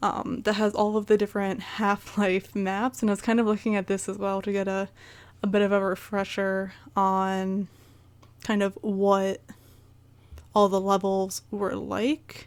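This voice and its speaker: A woman at a medium pitch with a Midwestern US accent, flat and monotone, at a fairly slow pace, in a very clean recording with a silent background. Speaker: gaming YouTuber. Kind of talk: casual video game recap monologue. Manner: hesitant, many fillers.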